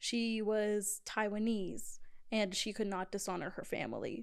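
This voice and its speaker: A woman speaks with an unremarkable speaking voice, at a fairly high pitch with ordinary pitch variation. Her pace is fairly slow, on a very clean recording with a silent background. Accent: American. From Georgia, US South (Sandy Springs). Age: 20s. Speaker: event coordinator. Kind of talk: casual chat.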